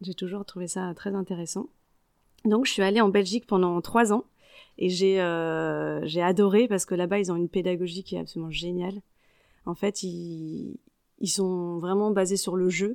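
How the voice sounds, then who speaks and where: A woman talks at a moderate pace and medium pitch, with fairly even intonation and long, frequent pauses. The very clean recording has a silent background and a dry, close sound with no echo. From Paris region, France (Yvelines). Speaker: network coordinator, former primary school teacher. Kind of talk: casual interview.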